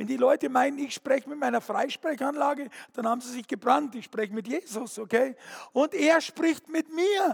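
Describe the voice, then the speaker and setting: At a moderate pace, a man speaks in an animated tone with an extremely high pitch, on a dry, close recording with no echo. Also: ordinary pitch variation. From Bavaria, Fürstenfeldbruck. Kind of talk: testimony. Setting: stage with audience.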